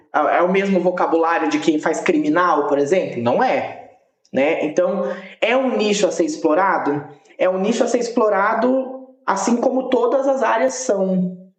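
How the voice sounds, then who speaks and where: A high-pitched male voice with very wide pitch swings, very even loudness, a moderate pace, and audible room echo. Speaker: English teacher and language school founder. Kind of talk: podcast interview.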